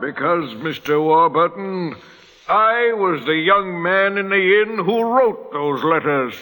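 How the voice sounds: A man's put-on character voice, high-pitched, bright and sharp, with lively intonation and a slow pace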